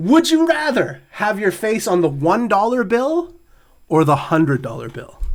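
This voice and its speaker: A man speaks loudly and fairly slowly in a high pitch. His pitch swings very widely. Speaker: podcast co-host. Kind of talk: casual chat.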